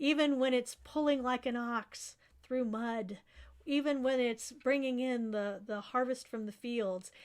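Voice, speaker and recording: On a very clean recording with a silent background, a woman talks at a fairly slow pace in a high pitch with fairly even intonation. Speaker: university English professor. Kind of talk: poetry reading with encouraging address to students.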